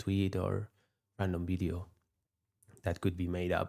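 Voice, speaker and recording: A man with a non-native accent, a very deep, low pitch and monotone, flat intonation at a fairly slow pace, in a very clean recording with a silent background. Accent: non-native English, noticeable. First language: not English. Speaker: futures day trader, live streamer. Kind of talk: live trading stream commentary. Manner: halting, with repetitions and fillers.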